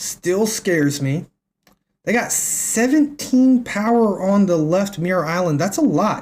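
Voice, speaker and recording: American-accented speech from a man, full of very broad rises and falls in pitch. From US South, northwest Tennessee. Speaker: game streamer. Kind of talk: live gameplay commentary. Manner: casual, animated.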